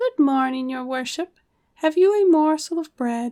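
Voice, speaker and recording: A woman uses a put-on character voice that is squeaky. She speaks at a moderate pace. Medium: read story. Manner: cheeky and sly.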